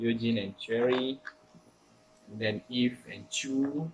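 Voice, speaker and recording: Against noticeable background noise, a man with a non-native accent speaks very slowly at a medium pitch with fairly even intonation. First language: not English. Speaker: K-pop fan YouTuber. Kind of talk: casual talk to camera.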